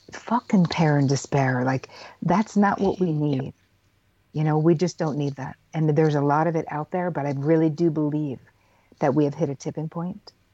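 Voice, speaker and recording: Very deep and low in pitch, a woman speaks at a moderate pace with a dark, mellow tone and ordinary pitch variation. The sound is dry and close, with no echo. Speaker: psychotherapist. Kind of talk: interview.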